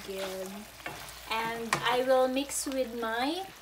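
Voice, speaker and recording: A woman speaks at a very slow pace. Loud background noise surrounds her. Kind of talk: casual cooking vlog chat. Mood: cheerful, laughing. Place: kitchen. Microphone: phone near.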